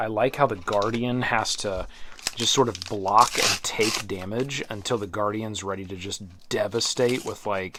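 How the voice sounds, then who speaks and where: Noticeable background noise sits under the audio. A man talks with fairly even intonation. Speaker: board game reviewer. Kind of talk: unboxing commentary. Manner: halting.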